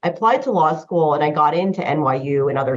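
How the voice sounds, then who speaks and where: A woman's very deep, low voice at a fairly quick pace, with ordinary pitch variation. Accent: American. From US Northeast, New Jersey. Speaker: patent lawyer. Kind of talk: interview. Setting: podcast. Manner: casual, many fillers.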